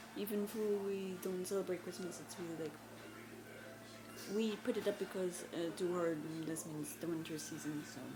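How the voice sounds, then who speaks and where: Noticeable background noise under a female voice of medium pitch. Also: ordinary pitch variation, moderate pace. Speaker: book vlogger. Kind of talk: casual talk to camera.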